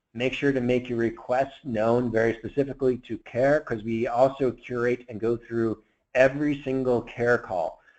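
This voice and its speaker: A man speaks at a medium pitch in a monotone, flat intonation. The background is quiet. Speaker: software product manager. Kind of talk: webinar Q&A. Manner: fast.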